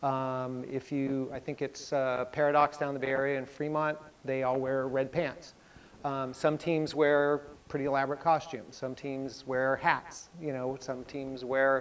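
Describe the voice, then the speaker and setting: The speaker uses a monotone, flat intonation at a fairly slow pace. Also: man. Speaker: presenter. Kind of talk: lecture. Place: classroom.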